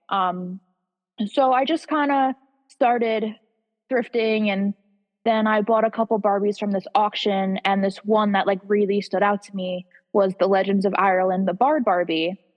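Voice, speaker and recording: A woman's medium-pitched voice at a moderate pace, with ordinary pitch variation and music in the background. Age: 20s. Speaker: doll reseller. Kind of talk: interview. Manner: casual, filler words.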